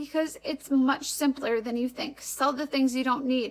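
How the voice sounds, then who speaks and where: Here a woman speaks with an American accent. Her voice is high, and her intonation fairly even. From Wisconsin, US Upper Midwest. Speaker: vlogger. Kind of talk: casual vlog talk. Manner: conversational, frequent um fillers.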